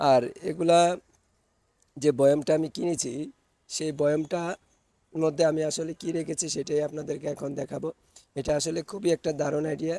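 A man's dark, mellow voice at fairly high pitch, flat and monotone, with a dry, close sound and no echo. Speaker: vlogger. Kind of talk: casual vlog talk.

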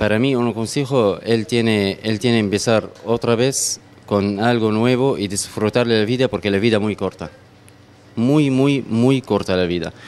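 In an Arabic accent, a man talks at a fairly slow pace with fairly even intonation. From Syria, Homs; Syria. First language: Arabic (speaking Spanish). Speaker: restaurant owner, immigrant. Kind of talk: interview. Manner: halting, repeats words. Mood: somber, reflective. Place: kitchen. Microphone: handheld.

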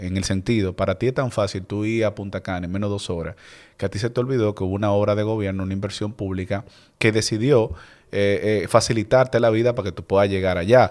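Very fast speech with fairly even intonation over a quiet background. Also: man, fairly low pitch for a man. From Dominican Republic. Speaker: political candidate; podcast guest, candidate. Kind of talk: interview. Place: studio. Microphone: studio mic.

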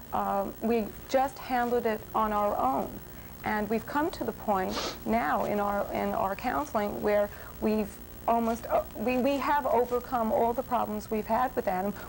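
Music plays behind a woman who talks at a fairly slow pace. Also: ordinary pitch variation. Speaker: talk show guest. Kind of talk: interview answer. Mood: earnest, explaining family problems. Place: studio. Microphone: lapel.

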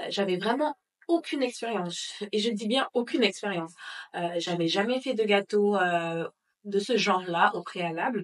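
A woman talks at a fairly slow pace, breaking often into long pauses. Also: lively intonation. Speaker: bakery owner and entrepreneur. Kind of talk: casual interview. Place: home room.

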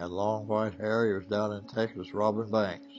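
A man's fairly low voice at a moderate pace, with faint music in the background. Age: 80s+. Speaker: former prisoner. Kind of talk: interview answer. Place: shop.

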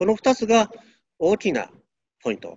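Moderate pace over a quiet background, the sound dry with no echo. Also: man. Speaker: university chemistry professor. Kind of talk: interview. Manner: halting. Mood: friendly, smiling. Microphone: video call.

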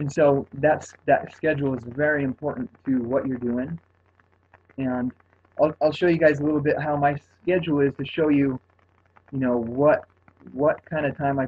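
Breaking often into long pauses, a man speaks at a moderate pace with fairly even intonation and a somewhat breathy voice. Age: 30s. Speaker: fitness coach. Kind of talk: testimony. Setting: conference call. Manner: soft-spoken. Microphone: phone line.

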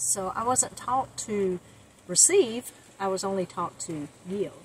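A woman speaks very slowly in a somewhat breathy voice. The sound is dry with no echo, with light background noise. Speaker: van life vlogger. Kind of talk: personal testimony vlog. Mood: reflective, sincere storytelling. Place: car. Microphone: lapel.

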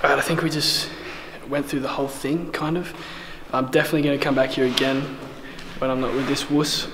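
Amid noticeable background noise, a man rattles along at a very fast pace in a flat monotone. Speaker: urban explorer vlogger. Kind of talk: casual vlog chat. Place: tunnel cave. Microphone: phone near.

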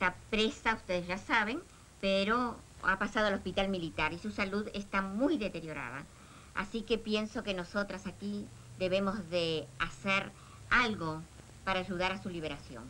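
A woman's bright, sharp tone with vocal fry, at a moderate pace, over light background noise. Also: medium pitch for a woman, ordinary pitch variation. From Uruguay. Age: 60s. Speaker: political activist. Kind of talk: meeting. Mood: serious, concerned. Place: home room.

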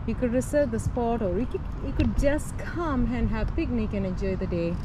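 A woman's fairly high-pitched voice at a moderate pace, with ordinary pitch variation, over loud background noise.

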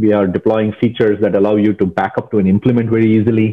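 A man rattles along at a very fast pace with a quiet background behind him. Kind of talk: interview answer. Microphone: earbuds.

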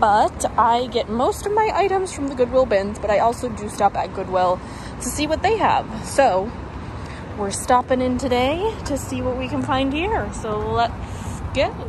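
A high-pitched woman at a fairly slow pace, dry with no echo, over noticeable background noise. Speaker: reseller vlogger. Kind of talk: casual vlog chat. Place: shop. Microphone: phone near.

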